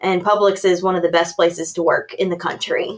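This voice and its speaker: A woman speaks with a Tennessee accent in a monotone, flat intonation. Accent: Tennessee Southern. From Tennessee, near Nashville. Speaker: workplace consultant. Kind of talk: podcast interview.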